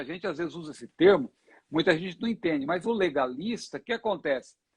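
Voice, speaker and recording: A high-pitched man with lively intonation, in a dry, close sound with no echo. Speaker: pastor and Bible teacher. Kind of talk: Bible teaching in a live Q&A. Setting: Instagram live broadcast.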